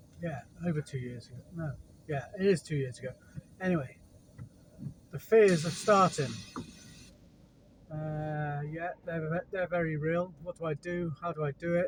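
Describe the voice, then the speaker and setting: A man's fairly high voice in an English accent, at a moderate pace with ordinary pitch variation and long, frequent pauses. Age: 40s. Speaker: handyman and gardener. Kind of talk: casual vlog monologue. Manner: halting, with stutters and fillers.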